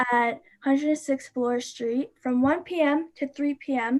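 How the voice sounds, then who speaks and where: A woman speaks with a Canadian accent. Her pitch is high and her intonation fairly even. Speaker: youth climate activist. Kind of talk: livestream presentation. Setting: live stream. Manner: fast.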